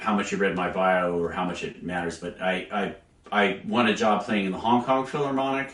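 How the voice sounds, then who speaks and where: Over noticeable background noise, a man speaks at a moderate pace. His fairly low pitch carries lively intonation. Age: 60s. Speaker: orchestral English horn player. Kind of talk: interview. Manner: hesitant, many fillers.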